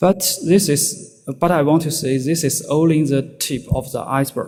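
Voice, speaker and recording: With a Chinese accent, a man speaks fairly slowly and with fairly even intonation while music plays in the background. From China. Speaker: security researcher. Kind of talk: conference talk. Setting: stage with audience. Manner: halting, many fillers.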